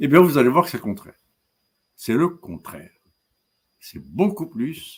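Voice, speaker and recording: A man talks at a fairly slow pace with a fairly high pitch and vocal fry. His loudness swings widely, and he leaves long, frequent pauses. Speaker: professor. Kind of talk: lecture. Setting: webinar. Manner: halting.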